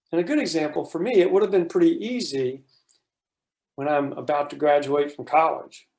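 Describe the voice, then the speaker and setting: This man speaks with an American accent at a fairly high pitch. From US South. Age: 60s. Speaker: workshop presenter. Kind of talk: workshop facilitation.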